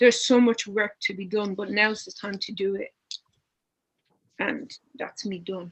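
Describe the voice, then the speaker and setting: A woman with a strong Dublin accent, somewhat breathy, at a fairly slow pace with long, frequent pauses, fairly even intonation and big swings in loudness. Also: medium pitch for a woman. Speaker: panelist. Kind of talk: panel discussion.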